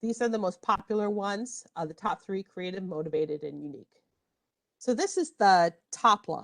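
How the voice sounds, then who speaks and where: A woman in a plain, everyday voice speaks at a medium pitch and moderate pace with lively intonation, the sound dry and close with no echo. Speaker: librarian. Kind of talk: tutorial. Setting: online workshop.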